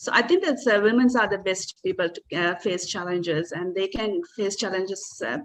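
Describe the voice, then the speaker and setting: A woman's voice with noticeable background noise. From Sri Lanka. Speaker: emergency physician. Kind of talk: panel discussion. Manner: halting, many fillers.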